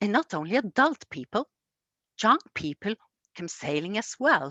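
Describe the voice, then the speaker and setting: Speaking at a moderate pace in a Norwegian accent, a woman with a medium pitch makes very wide pitch swings. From Norway, Egersund near Stavanger. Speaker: storyteller. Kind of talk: storytelling. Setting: museum. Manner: halting.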